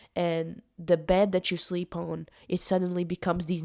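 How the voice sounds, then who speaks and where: In a very clean recording with a silent background, a woman with a non-native accent speaks at a fairly slow pace in a fairly low, dark, mellow voice. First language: not English. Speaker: musician vlogger. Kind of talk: casual monologue vlog. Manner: halting, with many fillers.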